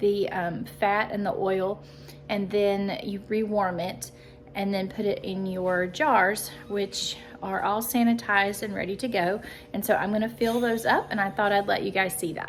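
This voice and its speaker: Over music in the background, a woman speaks at a moderate pace and medium pitch. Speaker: homesteading vlogger. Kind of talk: casual vlog talk. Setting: outdoors. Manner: casual, hesitant with fillers.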